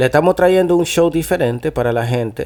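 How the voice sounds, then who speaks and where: A man talks at a fairly quick pace with a Dominican accent. His tone is dark and mellow, and his pitch varies in an ordinary way. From New Jersey, Dominican family. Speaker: podcast host, musician. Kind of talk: casual chat. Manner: animated.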